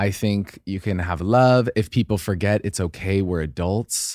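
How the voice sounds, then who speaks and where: This man has an American accent and a fairly low pitch with ordinary variation. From Idaho. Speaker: podcast co-host. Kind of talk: casual chat. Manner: animated.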